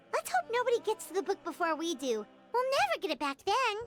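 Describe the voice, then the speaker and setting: An energetic, squeaky put-on character voice at an extremely high pitch and a very fast pace, with music in the background. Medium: video game. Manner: energetic, chatty.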